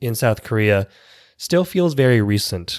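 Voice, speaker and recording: At a moderate pace, a man with a Canadian accent speaks at a medium pitch on a very clean recording with a silent background. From Toronto, Canada. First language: Vietnamese. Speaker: podcast host. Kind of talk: scripted narration of personal story.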